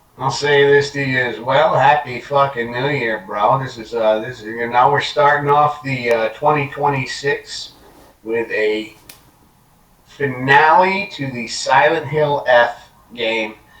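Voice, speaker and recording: A man talks at a fairly slow pace and fairly high pitch with ordinary pitch variation over noticeable background noise. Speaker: gaming podcast co-host. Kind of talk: casual chat. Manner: hesitant, many fillers.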